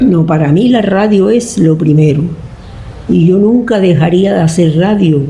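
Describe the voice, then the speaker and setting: Noticeable background noise sits behind a woman speaking at a fairly slow pace. Her pitch is fairly low and varies in an ordinary way. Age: 80s+. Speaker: radio actress. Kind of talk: interview answer.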